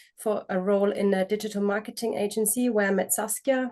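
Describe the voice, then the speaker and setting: A woman of medium pitch speaks with a German accent. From Germany. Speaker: business co-founder. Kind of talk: interview. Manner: animated.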